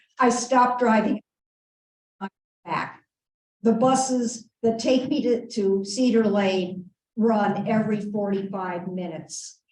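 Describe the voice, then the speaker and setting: Fairly high in pitch, a woman speaks with ordinary pitch variation. Her pace is very slow, with long, frequent pauses. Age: 70s. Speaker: audience member. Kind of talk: audience question. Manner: halting.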